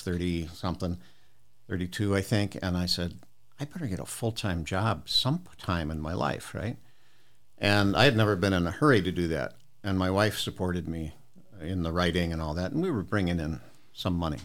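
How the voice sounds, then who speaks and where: A man with an American accent, a very deep, low pitch and a fairly quick pace. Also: ordinary pitch variation. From US Midwest. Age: 70s. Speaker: retired college professor and author. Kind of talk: casual interview chat.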